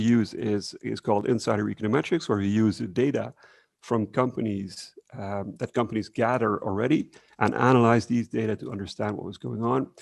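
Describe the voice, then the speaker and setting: Against a quiet background, a man at medium pitch talks at a fairly quick pace with ordinary pitch variation. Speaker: researcher presenting at workshop. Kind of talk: conference presentation. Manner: fast; hesitant, many fillers.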